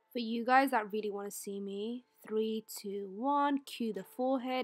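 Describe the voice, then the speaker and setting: A woman with a fairly high voice speaks at a fairly slow pace while music plays in the background. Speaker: friend narrating a makeup video. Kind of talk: comedic voice-over narration. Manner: playful, joking.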